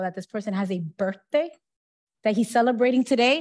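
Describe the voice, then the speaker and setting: A woman speaks in a somewhat breathy, fairly high voice against a quiet background. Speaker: city council president. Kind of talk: public meeting chairing. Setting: council chamber. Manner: fast talker. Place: hall. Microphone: podium.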